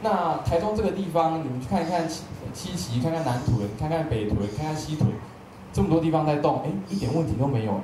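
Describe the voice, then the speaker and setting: Amid noticeable background noise and audible room echo, a man talks at a fairly quick pace. His fairly high voice has lively intonation. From Taiwan. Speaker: event moderator. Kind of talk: panel moderation. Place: hall.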